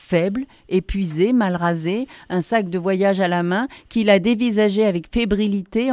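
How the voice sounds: With ordinary pitch variation, the clip presents a natural reading voice.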